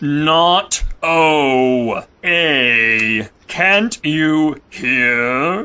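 In a put-on character voice with a bright, sharp tone, the speaker goes at a very slow pace. The intonation stays lively.

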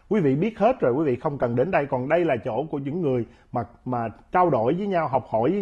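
Against a quiet background, a man with a fairly high voice talks at a fairly quick pace with lively intonation. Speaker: commentator; interview guest. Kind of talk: interview. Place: studio. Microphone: lapel.

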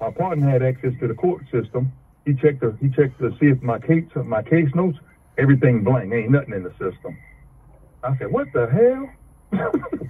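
At a moderate pace, a man delivers his words with ordinary pitch variation. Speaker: caller. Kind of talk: telling his story in a call. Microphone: phone line.

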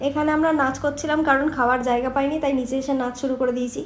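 Amid noticeable background noise and audible room echo, a woman speaks at a high pitch in a monotone, flat way. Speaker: vlogger. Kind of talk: vlog voice-over. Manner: normal speaking voice; chatty.

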